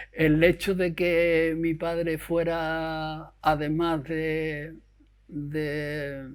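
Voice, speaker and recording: This fairly high-pitched man comes across on a very clean recording against a silent background. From Andalusia, Huelva province. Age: 70s. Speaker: retired bank employee. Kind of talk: interview testimony. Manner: halting.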